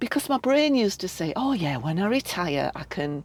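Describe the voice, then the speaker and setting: Heard dry and close with no echo, a woman talks at a moderate pace. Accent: Yorkshire. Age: 50s. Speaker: art wellness facilitator. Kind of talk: podcast interview. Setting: campervan.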